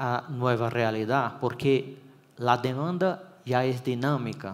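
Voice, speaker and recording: A man talks at a very slow pace. He has a Brazilian accent. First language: Portuguese (speaking Spanish). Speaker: electrical engineering consultant. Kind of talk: conference talk. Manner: hesitant, with fillers and restarts.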